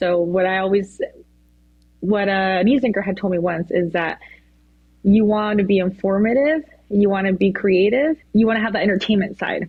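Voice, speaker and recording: A woman with a Spanish accent speaks at a moderate pace with long, frequent pauses. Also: medium pitch for a woman, ordinary pitch variation. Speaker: weather anchor. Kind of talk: casual chat. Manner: hesitant, many fillers.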